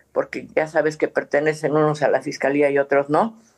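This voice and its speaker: A woman's very deep, low voice moves along at a moderate pace. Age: 70s. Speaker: human rights activist, mother searching for missing son. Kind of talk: interview.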